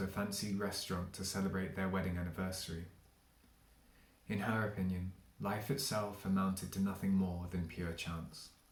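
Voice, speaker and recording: A man's fairly low voice at a fairly quick pace, with audible room echo and noticeable background noise. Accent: southern English. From England, London. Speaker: literary translator. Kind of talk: reading aloud.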